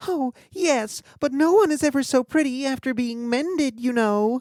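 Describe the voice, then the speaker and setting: A woman does a put-on character voice, pitched high and delivered at a moderate pace. The recording is very clean, with a silent background. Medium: read story. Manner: timid.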